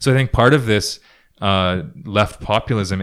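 In an unremarkable speaking voice with a Canadian accent, a man talks at a moderate pace and fairly low pitch with ordinary pitch variation, on a very clean recording with a silent background. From Ontario, Canada. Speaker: climate activist. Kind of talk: casual interview. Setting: home studio.

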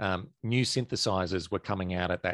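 A moderate pace with ordinary pitch variation, in a dry, close sound with no echo against a quiet background. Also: man. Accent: Australian. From Australia. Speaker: prog rock enthusiast, former band merch and label assistant. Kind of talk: casual discussion.

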